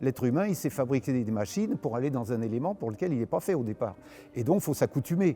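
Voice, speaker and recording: The pace is very fast. Intonation is lively. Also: man, medium pitch for a man. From France, Paris region (Meudon). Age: 80s+. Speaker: aerobatic pilot. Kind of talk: interview testimony.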